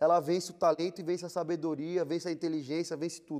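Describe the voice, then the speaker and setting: A man speaks at a very fast pace. His voice is high in pitch. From São Paulo periphery, Brazil. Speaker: entrepreneur, clothing store owner. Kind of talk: interview. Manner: casual, hesitant with repetitions.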